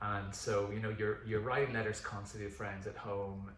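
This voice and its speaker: The speaker has a Northern Irish accent. The room echo is audible and the background noise is noticeable. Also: man. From Northern Ireland. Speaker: pastor. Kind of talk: casual chat.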